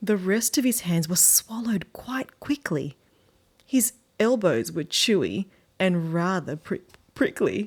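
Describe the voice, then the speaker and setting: Recorded very cleanly over a silent background, a woman with an Australian accent speaks fairly slowly at a medium pitch, somewhat breathy, her pitch swinging very widely. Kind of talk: children's book read-aloud.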